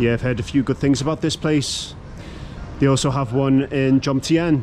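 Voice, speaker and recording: Someone with a British accent speaks at a moderate pace with fairly even intonation over light background noise. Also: man. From Britain. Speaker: travel vlogger. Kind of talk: walkthrough vlog. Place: street. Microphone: phone near.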